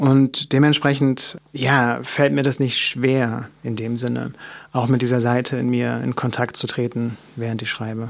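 A normal speaking voice from a man, medium in pitch, at a fairly slow pace. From Mecklenburg, eastern Germany. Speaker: author. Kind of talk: interview.

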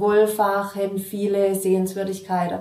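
Amid noticeable background noise and audible room echo, a woman speaks at medium pitch. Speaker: innkeeper. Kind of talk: interview. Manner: hesitant, many fillers.

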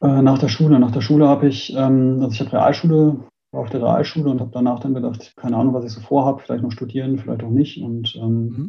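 The delivery is somewhat breathy and moves at a very fast pace. Intonation stays fairly even. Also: man, medium pitch for a man. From Germany, Münster (Westphalia). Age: 30s. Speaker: smart city association founder. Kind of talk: interview. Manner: calm, quiet; halting, many fillers.

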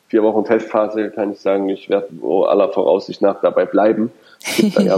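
A man's voice is heard. Behind it, background noise is noticeable. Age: 30s. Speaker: company managing director. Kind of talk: podcast interview. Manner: hesitant, many fillers and repetitions.

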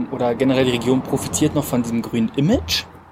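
A man's pitch varies in an ordinary way as noticeable background noise runs behind him. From Brandenburg, Cottbus (eastern Germany). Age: 20s. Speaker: hotel director. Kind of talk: interview. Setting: outdoors. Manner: hesitant, many fillers.

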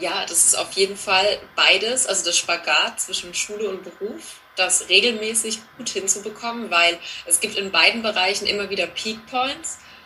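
There are hardly any pauses in the speech. Noticeable background noise is present. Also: woman, medium pitch for a woman, ordinary pitch variation, moderate pace. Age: 30s. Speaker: teacher and learning coach. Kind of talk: interview.

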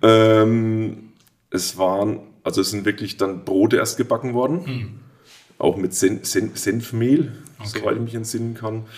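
Medium-pitched and fairly even in intonation, a man talks at a fairly slow pace in a plain, everyday voice. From Würzburg, Lower Franconia (Germany). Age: 40s. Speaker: brewery owner, master brewer. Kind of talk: casual interview.

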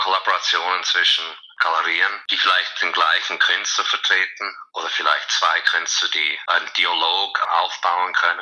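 A man's voice against noticeable background noise. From USA, born in Zurich. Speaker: art fair director. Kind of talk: interview.

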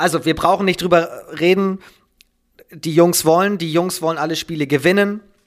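Moderately paced and high-pitched, a man speaks in a monotone, flat intonation with long, frequent pauses. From Schleswig-Holstein, northern Germany. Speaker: handball commentator and journalist. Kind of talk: casual interview. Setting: at his desk at home.

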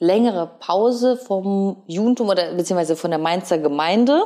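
A woman with a dark, mellow tone speaks at a moderate pace and medium pitch, with ordinary pitch variation. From Ukraine. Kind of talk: casual interview chat. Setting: living room couch at her home.

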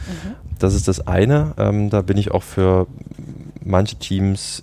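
A man speaks with a very deep, low pitch. Noticeable background noise sits behind him. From Saxony, Dresden. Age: 20s. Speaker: team and organisation developer. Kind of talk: casual interview. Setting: outdoors on a balcony.

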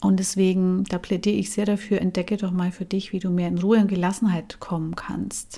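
A woman talks at a fairly quick pace with hardly any pauses, her medium-pitched voice dark, mellow and somewhat breathy. Her intonation is monotone and flat. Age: 40s. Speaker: life coach and podcast host. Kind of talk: solo podcast talk.

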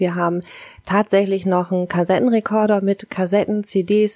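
In a dry, close sound with no echo, a woman with a dark, mellow tone speaks at a medium pitch and a moderate pace. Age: 40s. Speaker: kindergarten teacher. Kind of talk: interview.

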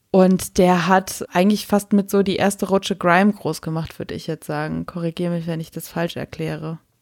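A woman's fairly low, monotone, flat delivery with big swings in loudness and hardly any pauses, in a dry, close sound with no echo. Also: moderate pace. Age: 30s. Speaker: radio and podcast co-host. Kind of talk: casual chat. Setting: remote recording, not in the same room.

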